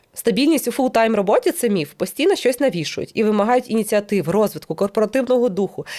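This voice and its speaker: A woman with a fairly high voice talks very fast. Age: 30s. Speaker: YouTuber and business owner. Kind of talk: casual monologue to camera.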